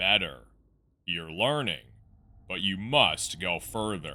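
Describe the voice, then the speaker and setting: At a fairly slow pace, the speaker performs a put-on character voice. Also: man, very deep, low pitch for a man. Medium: read story. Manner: curt, commanding.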